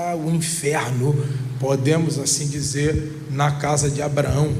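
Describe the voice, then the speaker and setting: Amid audible room echo and noticeable background noise, a man speaks fairly slowly at a fairly high pitch. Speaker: pastor. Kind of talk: sermon.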